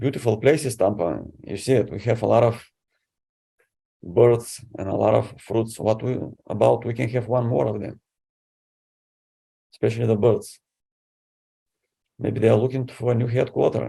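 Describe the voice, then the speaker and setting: In a Bulgarian accent, the speaker uses a dark, mellow tone with vocal fry and long, frequent pauses. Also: man, medium pitch for a man, ordinary pitch variation, moderate pace. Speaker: city council candidate. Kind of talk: candidate interview.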